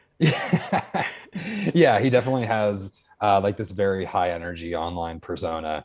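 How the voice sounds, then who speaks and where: An unremarkable speaking voice from a man, fairly low in pitch, at a moderate pace with ordinary pitch variation. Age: 20s. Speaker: tricker and martial artist, writer. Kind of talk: casual chat. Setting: podcast interview. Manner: talkative, frequent fillers.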